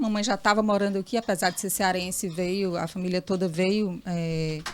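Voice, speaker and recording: This woman has an unremarkable speaking voice at a medium pitch. She talks at a moderate pace with fairly even intonation. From Piauí, Brazil (Teresina). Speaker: journalist. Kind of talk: interview.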